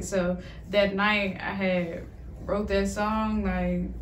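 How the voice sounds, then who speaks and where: Against noticeable background noise, a woman with an American accent speaks at a very slow pace. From Oklahoma. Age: young. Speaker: singer-songwriter. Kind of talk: interview answer. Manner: soft-spoken.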